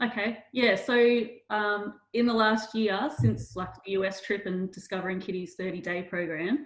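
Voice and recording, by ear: Her pitch medium and barely moving, a woman speaks at a moderate pace.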